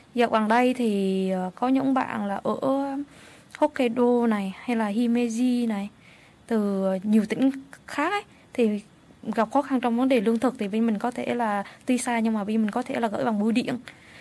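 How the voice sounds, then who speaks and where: A woman's fairly high voice at a moderate pace, with fairly even intonation and long, frequent pauses. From Vietnam. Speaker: social support worker and interpreter. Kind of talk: radio interview. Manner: halting.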